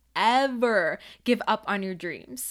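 Her voice is fairly high, upbeat and enthusiastic, with lively intonation. The woman is heard on a very clean recording with a silent background. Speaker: podcast host. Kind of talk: podcast interview, partly scripted intro and ad read. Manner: upbeat, enthusiastic.

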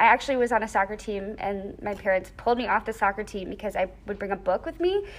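Her pitch varying in an ordinary way, a woman speaks at a very fast pace. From US, raised in Thailand and Georgia. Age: 20s. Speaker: dance and English teacher. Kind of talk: casual interview.

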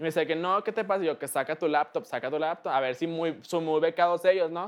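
Talking at a very fast pace, the speaker uses ordinary pitch variation. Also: man. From Mexico. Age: 20s. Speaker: internet celebrity. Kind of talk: casual interview.

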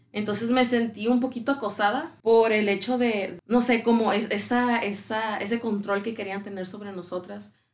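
In an ordinary speaking voice, a woman talks at a moderate pace and a fairly high pitch, with fairly even intonation and hardly any pauses. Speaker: actress. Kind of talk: casual chat.

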